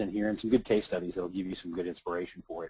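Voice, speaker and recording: A man speaks with a slight Southern accent in a dark, mellow tone and fairly even intonation. The sound is dry and close, with no echo. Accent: slight southern twang. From Kentucky, US South. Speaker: author and social media marketing speaker. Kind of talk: webinar presentation. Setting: webinar, online call. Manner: halting, many fillers.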